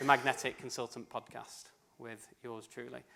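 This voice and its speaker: A man talks with a British accent. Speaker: event co-host and podcast host. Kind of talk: speaker introduction. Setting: stage with audience.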